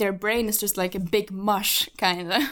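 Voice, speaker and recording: This woman speaks with a Slovak accent. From Slovakia. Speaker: podcast co-host and model. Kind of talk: casual chat. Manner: animated.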